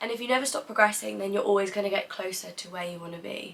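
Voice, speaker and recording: A woman with a medium-pitched voice talks over noticeable background noise, her pitch varying in an ordinary way. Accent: British. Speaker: content creator. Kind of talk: vlog monologue.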